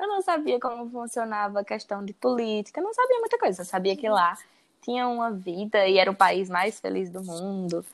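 Lively intonation and a fairly quick pace carry a woman speaking in a Ceará accent. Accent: Northeastern Brazilian Portuguese (Ceará). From Brazil, Ceará (Crato). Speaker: veterinary student and English teacher. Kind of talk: casual interview.

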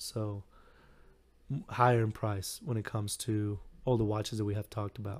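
On a very clean recording with a silent background, a man speaks in a fairly low pitch, somewhat breathy, with monotone, flat intonation. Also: moderate pace. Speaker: watch podcast host, army veteran. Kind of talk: casual solo podcast talk. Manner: repetitive, halting with fillers.

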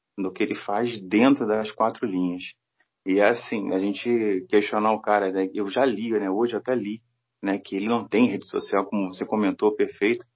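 This is an ordinary speaking voice from a man, fairly low in pitch. He moves at a moderate pace. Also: fairly even intonation. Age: 40s. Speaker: football fan commentator. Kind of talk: casual chat.

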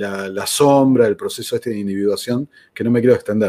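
In a very clean recording with a silent background, a man with a medium pitch and a dark, mellow tone talks at a fairly quick pace with ordinary pitch variation. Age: 40s. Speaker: podcast host, former political aide. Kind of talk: interview conversation. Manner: halting.

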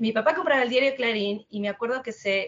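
A woman with a high pitch talks in a Rioplatense accent. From Argentina, Quilmes (Buenos Aires province). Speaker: English teacher and travel influencer. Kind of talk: interview.

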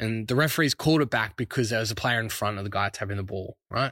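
A man talking very fast in an Australian accent, ordinary pitch variation, dry, close sound with no echo, very clean recording with a silent background. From Brisbane, Australia. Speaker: sports podcast host. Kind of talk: casual solo sports podcast. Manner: casual, hesitant with fillers.

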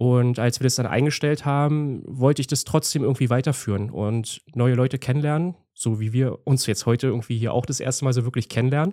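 A man with a dark, mellow tone and fairly even intonation, hardly any pauses, in a very clean recording with a silent background. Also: medium pitch for a man, fairly quick pace. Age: 30s. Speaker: landscape photographer and YouTuber. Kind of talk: casual interview chat.

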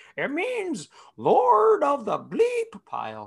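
Putting on a creaky character voice, a woman talks very slowly at a high pitch.

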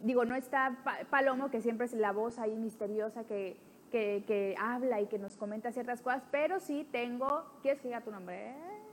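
A woman talks in an ordinary speaking voice, pitched rather high, at a medium speed with normal rises and falls. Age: 30s. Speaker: podcast host. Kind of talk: casual chat.

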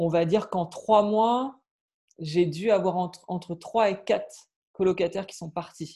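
A man with a high voice speaks fairly slowly in a dark, mellow tone, his intonation fairly even but his loudness swinging widely. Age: 30s. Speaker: property investor and TV journalist. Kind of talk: casual interview.

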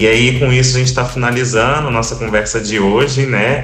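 A man talks while noticeable background noise sounds behind him. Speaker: podcast co-host, NGO researcher. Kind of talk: podcast conversation.

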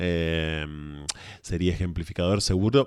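A man's very deep, low voice at a fairly slow pace, with fairly even intonation and a very clean recording over a silent background. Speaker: podcast guest. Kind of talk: casual discussion.

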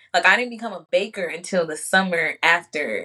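Her voice is fairly low and bright, sharp in tone, with ordinary pitch variation as this woman speaks at a moderate pace. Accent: American. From Chicago. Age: 20s. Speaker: entrepreneur and spiritual advisor. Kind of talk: casual chat.

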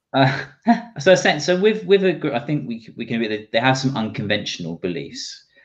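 Fairly quick speech in an English accent carries very wide pitch swings and vocal fry. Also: man, medium pitch for a man. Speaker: podcast co-host. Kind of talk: casual chat. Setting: video call livestream. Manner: hesitant, laughs often.

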